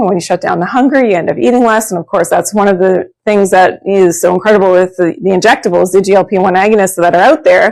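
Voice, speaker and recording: On a very clean recording with a silent background, a woman speaks. Her pitch is medium and her pace very fast. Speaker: naturopathic doctor and supplement presenter. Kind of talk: live shopping sales pitch. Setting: studio. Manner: animated.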